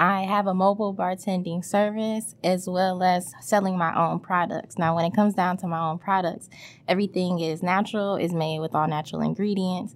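A woman talks in a normal speaking voice at a medium pitch and a fairly quick pace. Her intonation is fairly even, and the recording is very clean with a silent background. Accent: American. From Detroit, east side. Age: 20s. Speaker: mobile bar owner. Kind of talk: casual interview.

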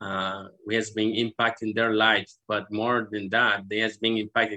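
A man with a Spanish accent speaks in a fairly low, monotone voice with flat intonation, hardly any pauses and a moderate pace. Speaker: charity country coordinator. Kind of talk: interview.

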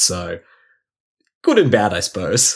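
A man with an Australian accent on a very clean recording against a silent background. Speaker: fantasy sports podcast co-host. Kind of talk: casual chat. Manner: animated.

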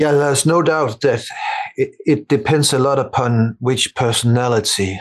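A man is speaking. He talks with a Danish accent. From Denmark. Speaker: meditation teacher. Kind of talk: casual chat. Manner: halting.

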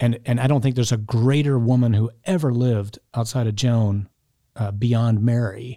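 This is an ordinary speaking voice at a moderate pace. The recording is very clean, with a silent background. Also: man. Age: 50s. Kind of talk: interview.

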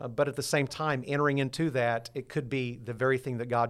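On a very clean recording with a silent background, a man talks at a fairly quick pace with fairly even intonation in an unremarkable speaking voice. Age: 60s. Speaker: pastor. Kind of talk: interview.

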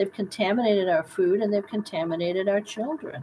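A woman's medium-pitched voice with an American accent, ordinary pitch variation and a fairly quick pace, over noticeable background noise. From US Midwest, south of Chicago. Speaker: doctor. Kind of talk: interview. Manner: animated.

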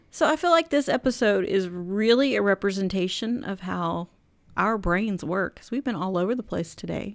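On a very clean recording with a silent background, a woman speaks at medium pitch. Her intonation is lively and her pace moderate. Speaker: podcast host. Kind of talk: casual chat.

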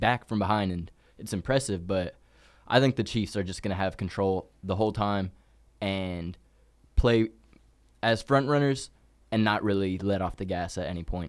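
This man has an unremarkable speaking voice, fairly low in pitch, with ordinary pitch variation at a moderate pace. The recording is very clean, with a silent background. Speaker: college radio sports co-host. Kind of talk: casual sports talk.

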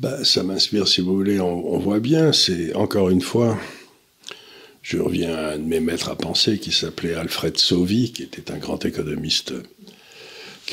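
Over noticeable background noise, a man with a very deep, low voice talks at a moderate pace with lively intonation. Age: old. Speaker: economic commentator. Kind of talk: casual discussion.

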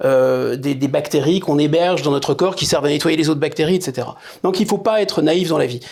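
At a fairly quick pace, a man speaks in a plain, everyday voice with fairly high pitch and ordinary pitch variation. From France, Paris suburbs. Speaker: political scientist and essayist. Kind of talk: interview.

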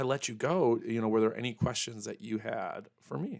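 At a moderate pace, a man talks with ordinary pitch variation. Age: 40s. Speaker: podcast host. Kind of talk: casual chat. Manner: soft-spoken.

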